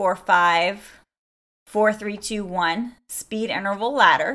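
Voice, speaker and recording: Against a quiet background, a woman speaks at medium pitch with ordinary pitch variation and a bright, sharp tone. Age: 40s. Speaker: fitness coach and podcast host; fitness coach, podcast host. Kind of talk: casual solo podcast talk. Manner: animated. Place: home room. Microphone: studio mic.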